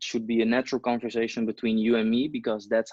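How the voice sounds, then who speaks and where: This is a man's voice. He has a non-native accent. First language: not English. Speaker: interviewer. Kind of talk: interview.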